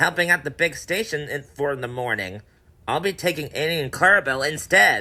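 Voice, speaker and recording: Someone performs a put-on character voice at a middle pitch. The pace is fairly quick. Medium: audio drama.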